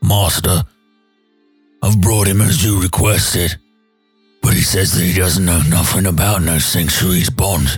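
A gruff, put-on character voice from a man, very deep and low, at a moderate pace over faint background music. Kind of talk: subservient, ungrammatical.

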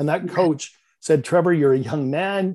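Talking at a fairly quick pace, a man with a slight Canadian accent has a dark, mellow tone and ordinary pitch variation. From Canada, Vancouver. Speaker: real estate investor and business coach. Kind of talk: podcast interview.

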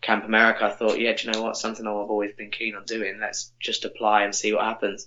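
A man with a southern English accent, fairly low pitched and flat in a monotone, very fast with hardly any pauses, over noticeable background noise. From Milton Keynes, England. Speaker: podcast guest, former camp counsellor. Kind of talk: casual chat.

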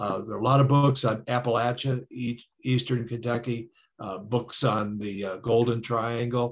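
Somewhat breathy delivery at a fairly slow pace, with monotone, flat intonation. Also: man, medium pitch for a man. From Detroit, Michigan. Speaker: author and historian. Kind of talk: interview. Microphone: connection dropped out.

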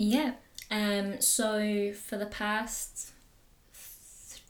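This woman has a northern English accent. Her pitch is medium. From northern England, Pennines. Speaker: wildlife artist and dive instructor. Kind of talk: casual chat.

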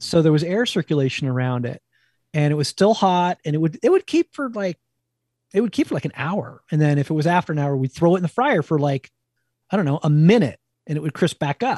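A man with a New Jersey accent, fairly high pitch, dark, mellow tone and lively intonation at a fairly quick pace, in a dry, close sound with no echo against a quiet background. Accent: East Coast, New Jersey. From New Jersey, near New York. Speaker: wild food cookbook author and former chef. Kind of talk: casual interview.

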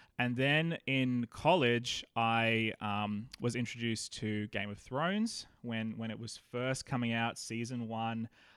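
On a very clean recording with a silent background, a man with an Australian accent speaks at a fairly slow pace with fairly even intonation and hardly any pauses. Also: medium pitch for a man. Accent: Australian, sometimes mistaken for American. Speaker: pastor and podcaster. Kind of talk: casual interview chat.

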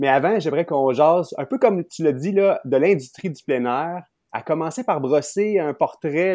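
A man speaks fairly slowly in a fairly high voice with a dark, mellow tone and lively intonation. The background is quiet. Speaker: podcast host. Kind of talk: interview.

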